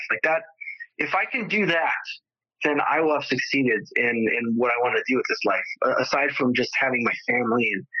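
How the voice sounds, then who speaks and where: This man talks at a moderate pace. His loudness stays very even throughout. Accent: Californian. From Southern California, San Fernando Valley. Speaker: entrepreneur with spinal cord injury. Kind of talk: interview conversation. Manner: repetitive, halting with fillers.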